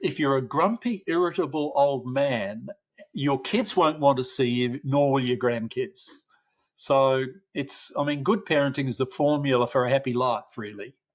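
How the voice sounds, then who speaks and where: Over a quiet background, a man with an Australian accent talks at a fairly slow pace and a fairly high pitch. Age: 70s. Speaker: parenting researcher, professor. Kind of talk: podcast interview.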